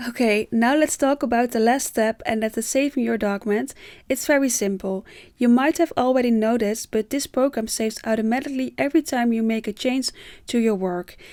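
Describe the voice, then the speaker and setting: Fairly quick speech from a woman with a fairly high voice and ordinary pitch variation, in a very clean recording with a silent background and a dry, close sound with no echo. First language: Dutch. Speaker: tutorial creator. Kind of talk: tutorial.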